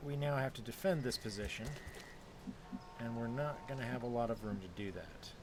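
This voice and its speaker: A man at medium pitch speaks at a fairly quick pace, with ordinary pitch variation. Long, frequent pauses break up his speech, and the room echo is audible. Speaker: gaming YouTuber. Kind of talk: let's play commentary. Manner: casual, animated; lowered voice, quieter.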